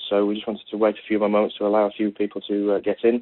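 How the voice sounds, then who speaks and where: Speaking at a very fast pace, a man with a British accent has a fairly low pitch. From Britain. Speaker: technology executive giving a conference talk. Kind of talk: conference presentation. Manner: halting, many fillers and repetitions.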